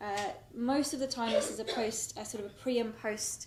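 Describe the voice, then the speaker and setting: There's audible room echo around this voice with a British accent and ordinary pitch variation. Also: woman. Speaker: social mobility researcher. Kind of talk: conference presentation. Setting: stage with audience.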